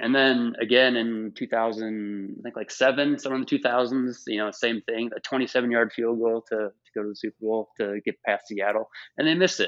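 A man speaks at medium pitch and a moderate pace, with fairly even intonation and hardly any pauses. He has an unremarkable speaking voice. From Minnesota. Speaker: podcast guest. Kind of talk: casual chat.

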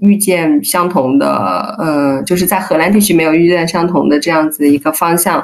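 An unremarkable speaking voice at a moderate pace. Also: woman. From China, Hunan. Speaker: candle maker, market stall seller. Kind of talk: casual interview chat.

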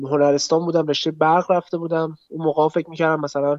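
The sound is dry and close, with no echo and a quiet background. A man speaks at a fairly high pitch. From Tehran, Iran. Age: 20s. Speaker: athlete and film enthusiast. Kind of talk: casual chat.

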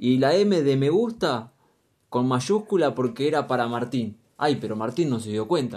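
Speaking at a fairly slow pace, a man with a Rioplatense accent has a medium pitch and lively intonation. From Argentina, Luján (Buenos Aires province). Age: 20s. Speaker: podcast co-host. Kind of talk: casual chat.

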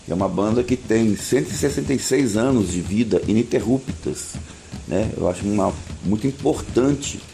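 This man's voice sits at a fairly low pitch. His intonation is lively. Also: fairly slow pace. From Minas Gerais, Brazil (Cachoeira do Campo, Ouro Preto). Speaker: teacher and local activist. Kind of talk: radio interview testimony.

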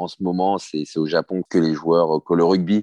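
A man's dark, mellow voice in dry, close sound with no echo. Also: quiet background. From Paris suburbs, France (Hauts-de-Seine). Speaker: former professional rugby player. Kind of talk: interview. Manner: halting, many repetitions.

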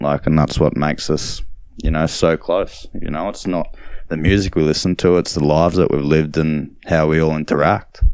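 A man with an Australian accent speaks at a moderate pace, his very deep, low pitch carrying fairly even intonation. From Australia, Gold Coast (Nerang). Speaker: DJ and record label owner. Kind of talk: interview. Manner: halting, many fillers.

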